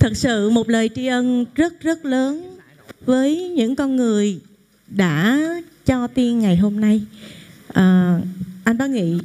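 A woman speaking at a very slow pace, with long, frequent pauses. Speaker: actress thanking mentors. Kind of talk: emotional thank-you speech. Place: hall.

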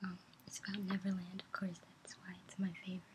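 A soft-spoken woman talks at a fairly quick pace with medium pitch. Her intonation is monotone and flat, and there is noticeable background noise. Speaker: ASMR creator. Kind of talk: ASMR soft speaking. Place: home room. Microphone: webcam.

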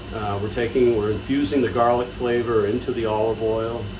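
A man speaks at a moderate pace with fairly even intonation, with noticeable background noise behind him. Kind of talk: tutorial. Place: kitchen. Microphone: phone near.

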